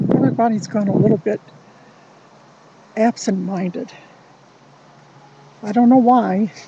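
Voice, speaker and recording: Her voice is fairly high for a woman, with ordinary pitch variation and long, frequent pauses. Noticeable background noise runs behind it. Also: moderate pace. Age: 60s. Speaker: vlogger. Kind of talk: casual monologue.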